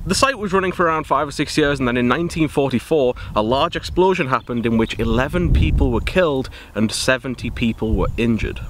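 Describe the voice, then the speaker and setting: A man talks at a very fast pace, with a dry sound and no echo, over light background noise. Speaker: urban explorer vlogger. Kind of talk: casual vlog chat. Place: open country. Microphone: phone near.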